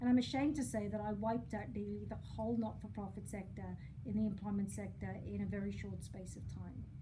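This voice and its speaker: Recorded with audible room echo and noticeable background noise, a woman speaks at a fairly quick pace. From Wales. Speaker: charity chief executive. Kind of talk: presentation. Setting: live event with audience.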